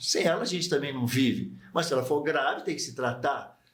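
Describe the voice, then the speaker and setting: A man speaks at a fairly quick pace. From Brazil, Barbacena, Minas Gerais. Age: 70s. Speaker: psychiatrist and medical professor. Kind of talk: radio interview.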